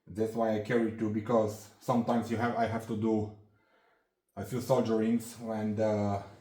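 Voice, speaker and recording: In a room with audible echo, a man talks at a moderate pace in a dark, mellow tone with monotone, flat intonation. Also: medium pitch for a man. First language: not English. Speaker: hobbyist handyman YouTuber. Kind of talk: tool show-and-tell tutorial. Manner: halting, many fillers and restarts.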